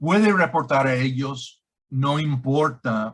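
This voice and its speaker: Speaking very slowly, a man has a non-native accent. His pitch is medium, with ordinary variation. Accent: non-native Spanish speaker. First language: English (speaking Spanish). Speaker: director of an anti-scam organization. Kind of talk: interview. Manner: halting.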